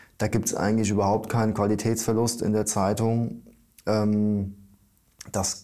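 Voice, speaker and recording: A man's fairly low, dark, mellow voice, monotone and flat, at a fairly slow pace on a very clean recording with a silent background. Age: 30s. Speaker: newspaper editor. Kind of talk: interview. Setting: newspaper office. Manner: hesitant, many fillers.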